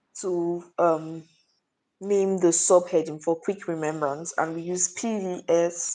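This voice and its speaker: A woman speaks at a very slow pace in a fairly low pitch. Her tone is dark and mellow, and her intonation stays fairly even. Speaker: student summarizing a lesson. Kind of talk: oral recap of anatomy lesson. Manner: quiet, low volume.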